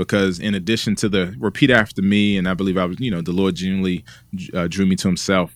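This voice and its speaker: A man talks with an American accent in an ordinary speaking voice, pitched fairly low. His intonation stays fairly even on a very clean recording with a silent background. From Washington, D.C. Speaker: pastor and author. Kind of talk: interview conversation.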